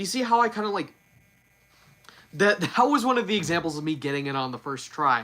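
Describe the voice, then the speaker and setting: A man with a high voice talks very fast, his pitch swinging very widely, with long, frequent pauses. Noticeable background noise runs underneath. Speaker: YouTuber doing news and reviews. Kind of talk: live stream chat. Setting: live stream. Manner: slurred, repeats words; halting.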